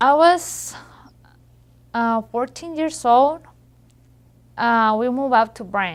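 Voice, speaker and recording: With a Spanish accent, the speaker talks at a very slow pace using lively intonation. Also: woman. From Mexico. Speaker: high school graduate. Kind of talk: testimony. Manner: halting.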